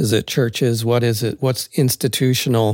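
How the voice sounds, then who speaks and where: Recorded very cleanly against a silent background, a man speaks at medium pitch and a fairly slow pace. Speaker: church member, panelist. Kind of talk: casual panel discussion.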